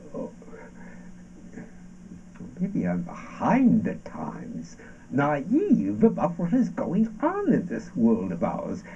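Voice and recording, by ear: Using a put-on character voice, a man speaks slowly at a fairly high pitch, his dark, mellow tone rising and falling in very wide pitch swings.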